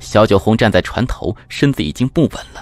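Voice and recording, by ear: The reading is done aloud in a natural voice, the intonation lively throughout.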